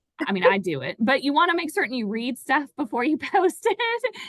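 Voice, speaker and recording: Speaking at a fairly quick pace with a Southern US accent, a woman with a high pitch is heard in a dry, close sound with no echo. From US South, Tennessee. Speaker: financial advisor. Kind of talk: webinar conversation.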